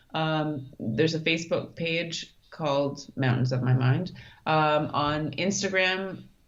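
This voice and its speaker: A woman speaks very slowly with a Canadian accent, her voice very deep and low. Her pitch varies in an ordinary way, and room echo is audible. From Canada, Thunder Bay, Ontario. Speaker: mountaineer and brain injury survivor. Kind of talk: interview.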